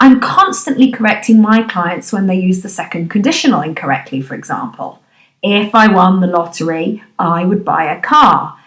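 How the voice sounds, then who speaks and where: A woman speaks with a British accent at a medium pitch. Her pace is moderate and her intonation lively. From Britain. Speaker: business English trainer. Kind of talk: podcast discussion.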